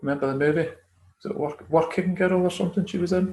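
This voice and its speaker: A high-pitched man speaks fairly quickly in a Scottish accent, on a very clean recording with a silent background. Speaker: conspiracy theory commentator. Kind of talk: casual chat.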